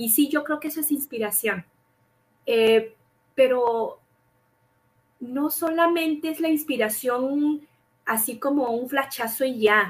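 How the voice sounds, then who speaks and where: A high-pitched woman speaks very slowly, with long, frequent pauses and ordinary pitch variation. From Mexico City. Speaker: scientific researcher. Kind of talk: interview.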